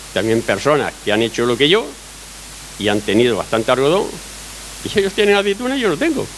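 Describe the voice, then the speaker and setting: Talking at a very fast pace with long, frequent pauses, a man with a fairly high pitch keeps a very even loudness while his pitch swings very widely over noticeable background noise. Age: 60s. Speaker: olive farmer. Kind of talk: public Q&A testimony at a talk.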